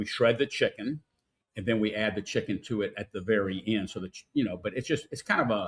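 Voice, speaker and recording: In an American accent, a man speaks with a somewhat breathy voice and ordinary pitch variation. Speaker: restaurant owner. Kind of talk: casual interview. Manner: halting, repetitive.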